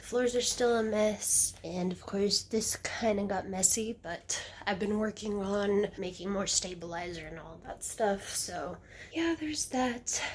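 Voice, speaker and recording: Speaking at a fairly slow pace, a woman uses a normal speaking voice at medium pitch, with ordinary pitch variation and big swings in loudness. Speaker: leather crafter vlogger. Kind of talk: casual vlog narration.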